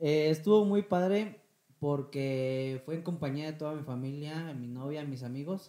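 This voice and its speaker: A man with a fairly high pitch, ordinary pitch variation and a fairly slow pace. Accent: Mexican. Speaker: podcast co-host. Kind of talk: casual chat.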